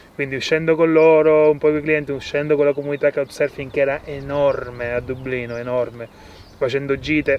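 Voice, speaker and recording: Over noticeable background noise, a man with a fairly high pitch speaks with monotone, flat intonation. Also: fairly quick pace. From Sicily, Italy. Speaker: permaculture farmer. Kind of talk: casual interview. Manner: halting, with fillers and restarts.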